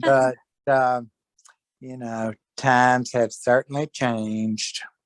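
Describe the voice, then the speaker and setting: Speaking very slowly in a flat monotone, a man with an American accent and a medium pitch is heard in a dry, close sound with no echo. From US South. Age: 70s. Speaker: fashion club member. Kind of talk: casual chat.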